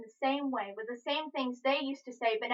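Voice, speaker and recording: This raised, projected voice has a bright, sharp tone and ordinary pitch variation. Delivery comes at a fairly quick pace. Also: woman. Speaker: spoken word poet. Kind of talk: spoken word poetry performance.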